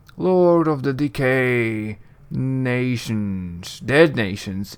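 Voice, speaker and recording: At a very slow pace, a man puts on a character voice at medium pitch, on a very clean recording with a silent background. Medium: actual play. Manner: broken, terse phrases.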